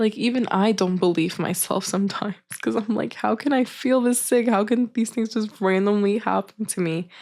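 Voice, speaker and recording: A woman's plain, everyday voice at a medium pitch, moderate pace and very even loudness, with ordinary pitch variation and hardly any pauses. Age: 20s. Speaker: vlogger sharing chronic illness story. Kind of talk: personal testimony. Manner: casual, conversational with fillers.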